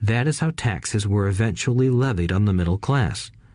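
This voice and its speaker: In an ordinary speaking voice, a man delivers his words at a moderate pace. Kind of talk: audiobook reading. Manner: even, measured narration.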